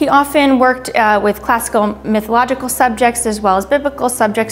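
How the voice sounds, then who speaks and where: A woman at a fairly high pitch and moderate pace, fairly even in intonation, with music in the background. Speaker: auction house art specialist presenting lots. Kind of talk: art lot presentation, informative.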